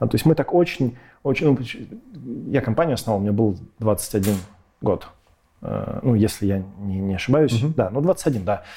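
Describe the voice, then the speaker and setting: On a very clean recording with a silent background, a man with a dark, mellow, somewhat breathy voice speaks at a moderate pace, with long, frequent pauses. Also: medium pitch for a man. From Russia, Irkutsk then Moscow from age 12. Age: 30s. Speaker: tech company co-founder and CTO. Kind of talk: casual interview chat. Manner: animated.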